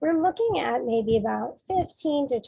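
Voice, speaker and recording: A woman's somewhat breathy voice, dark and mellow in tone, at a moderate pace. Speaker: state education specialist presenting a school behavioral health program. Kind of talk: presentation.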